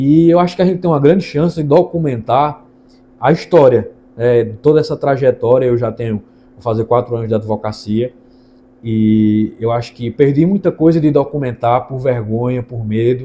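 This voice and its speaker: A man's medium-pitched voice with a dark, mellow tone, ordinary pitch variation and big swings in loudness, at a moderate pace. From Brazil, Ceará interior (Northeast). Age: 20s. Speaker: lawyer. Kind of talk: channel introduction monologue.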